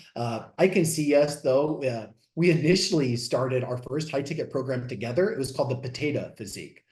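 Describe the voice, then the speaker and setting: An energetic voice with an American accent moves at a fairly quick pace. Pitch varies in an ordinary way, and room echo is audible. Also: man, fairly high pitch for a man. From US Midwest, Southeast Missouri. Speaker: fitness coach. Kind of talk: podcast interview. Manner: loud.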